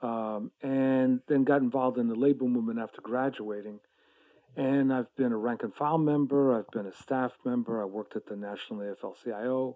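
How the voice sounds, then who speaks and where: This man has an unremarkable speaking voice, medium in pitch, with an American accent, a moderate pace and fairly even intonation. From New York. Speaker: labor activist and co-host. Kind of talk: casual interview.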